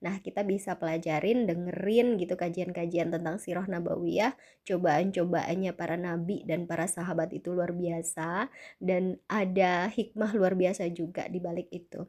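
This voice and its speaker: A woman speaks at a moderate pace with hardly any pauses, her fairly low pitch carrying a dark, mellow tone. Her intonation is fairly even, and the recording is very clean with a silent background. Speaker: vlogger sharing personal experience. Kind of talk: casual self-help talk.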